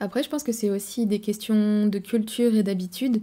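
Somewhat breathy and dark, mellow in tone, a woman's voice carries fairly even intonation. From France. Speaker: travel vlogger. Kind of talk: casual monologue to camera. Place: home room. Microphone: studio mic.

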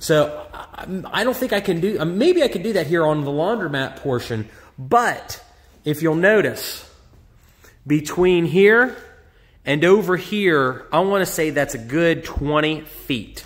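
A man talks with a high pitch. His pace is fairly slow. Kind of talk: casual vlog walkthrough. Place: shop. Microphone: phone near.

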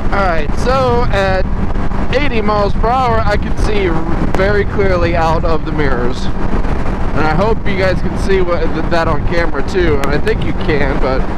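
Moderate pace in a dry sound with no echo, under loud background noise. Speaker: motorcycle vlogger. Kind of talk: casual vlog chat. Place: motorbike.

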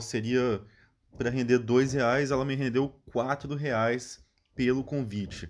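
In a very clean recording with a silent background, a man's voice comes through. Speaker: channel host promoting app bonuses. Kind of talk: sales pitch. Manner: casual, friendly, direct address to viewers.

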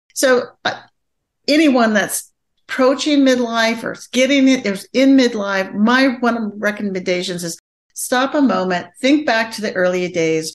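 The loudness rises and falls in big swings. The pace is moderate. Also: woman, fairly high pitch for a woman. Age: 60s. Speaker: marriage and family therapist. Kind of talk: casual interview chat.

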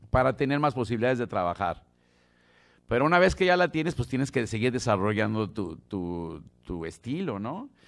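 A man with a Mexico City accent at a moderate pace, his pitch swinging very widely, against a quiet background. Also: medium pitch for a man. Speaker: bass player teaching a masterclass. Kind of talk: masterclass talk. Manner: casual, halting with repetitions. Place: studio. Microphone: studio mic.

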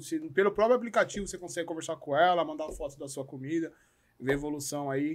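A man with a Brazilian accent talks at a very fast pace. The background is quiet. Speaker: podcast host; podcast guest. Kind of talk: casual chat. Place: studio. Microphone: studio mic.

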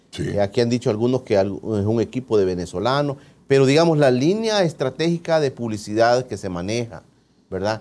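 At a fairly quick pace, a man's dark, mellow voice of medium pitch carries lively intonation. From El Salvador. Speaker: TV interview host. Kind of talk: TV interview. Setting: studio. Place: studio. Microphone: lapel.

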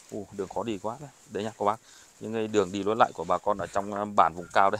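A man's fairly low voice at a very fast pace, fairly even in intonation, dry with no echo. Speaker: charity vlogger. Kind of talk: vlog narration and interview. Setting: outdoors. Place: open country. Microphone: phone near.

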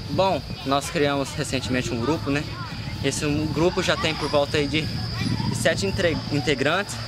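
The speech has ordinary pitch variation. Loud background noise fills a dry sound with no echo. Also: man, moderate pace. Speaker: fitness vlogger. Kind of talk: casual vlog chat. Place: street. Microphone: phone near.

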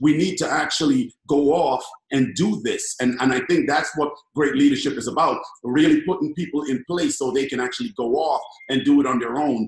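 Audible room echo surrounds a man whose fairly high voice moves at a fairly quick pace with ordinary pitch variation. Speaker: network marketing team leader; guest. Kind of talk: casual chat. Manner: loud. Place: home room. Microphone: webcam.

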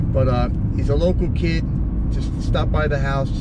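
A man's voice with a dry sound and no echo, under loud background noise. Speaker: car vlogger. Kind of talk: casual vlog chat. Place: car. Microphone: camera far.

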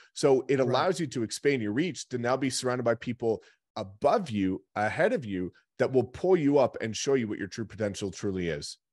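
A man's animated, lively voice at a fairly quick pace against a quiet background. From New Brunswick, Canada (Rothesay); New Brunswick. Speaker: real estate agent and recruiter; real estate team leader hosting a call. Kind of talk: sales pitch; interview answer. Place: office.

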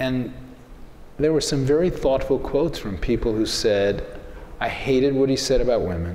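A man with an American accent and a medium pitch talks at a moderate pace with ordinary pitch variation and long, frequent pauses, in audible room echo with light background noise. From US South, New Orleans, Louisiana; Louisiana. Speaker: newspaper editor. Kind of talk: onstage panel interview. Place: stage.

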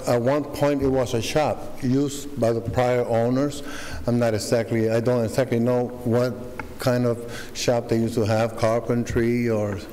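Delivered at a moderate pace, the speech has monotone, flat intonation. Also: man. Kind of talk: public hearing testimony. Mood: earnest, slightly nervous. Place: hall. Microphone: podium.

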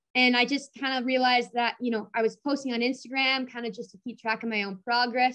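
A woman with an American accent talks at a very fast pace in a bright, sharp tone. The background is quiet. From Minnesota. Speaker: powerlifter; guest. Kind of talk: casual interview. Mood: cheerful, smiling. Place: home room. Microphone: video call.

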